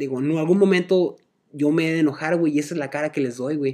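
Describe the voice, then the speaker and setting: Speaking at a very fast pace, a man has a fairly high pitch and a dark, mellow tone. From Guadalajara, Mexico. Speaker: podcast guest. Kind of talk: casual chat. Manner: halting.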